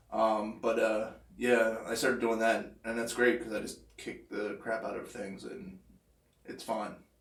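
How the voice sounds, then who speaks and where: Speaking at a fairly slow pace with an American accent, a man with a medium pitch keeps his intonation fairly even amid audible room echo. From Philadelphia, US. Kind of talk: casual chat. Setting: live stream.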